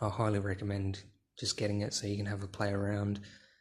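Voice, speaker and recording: A man speaks at a fairly low pitch with an Australian accent. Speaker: gaming YouTuber. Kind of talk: casual vlog commentary. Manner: hesitant, many fillers.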